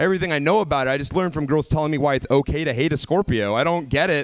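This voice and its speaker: This man talks very fast in an American accent, his pitch fairly high with vocal fry. The background is quiet. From US South. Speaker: comedian. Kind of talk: stand-up.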